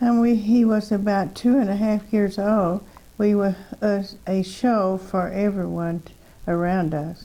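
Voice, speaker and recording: A woman's dark, mellow voice at a fairly slow pace, fairly even intonation and big swings in loudness. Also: medium pitch for a woman. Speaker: twin sister telling life story. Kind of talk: reminiscing, reading memoir aloud. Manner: halting, many fillers.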